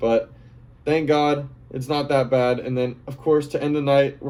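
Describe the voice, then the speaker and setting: A man's voice is dark and mellow in tone, pitched fairly high. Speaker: EDM festival vlogger. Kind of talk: casual monologue. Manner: fast; animated.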